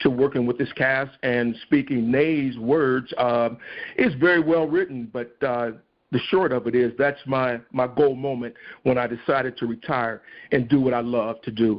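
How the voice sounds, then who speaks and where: Using a plain, everyday voice, a man talks at a medium pitch and a fairly slow pace with fairly even intonation. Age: 60s. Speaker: stage actor. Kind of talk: podcast interview.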